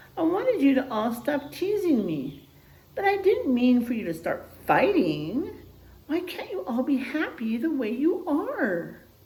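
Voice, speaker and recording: In a put-on, squeaky character voice, a woman speaks fairly slowly at a high pitch with very wide pitch swings, and an echo is audible. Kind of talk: bedtime story. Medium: read story.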